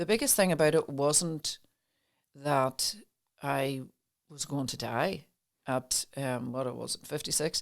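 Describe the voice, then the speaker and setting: A woman speaks very slowly with an Irish accent, her pitch very deep and low. She leaves long, frequent pauses. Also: ordinary pitch variation. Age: 60s. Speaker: mind wellness coach. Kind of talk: casual chat. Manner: halting.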